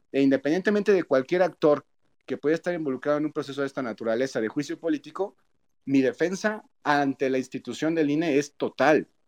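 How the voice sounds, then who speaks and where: A man speaks in a plain, everyday voice, with a dry, close sound and no echo. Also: fairly high pitch for a man, ordinary pitch variation, fairly quick pace. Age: 30s. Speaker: politician. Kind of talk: interview.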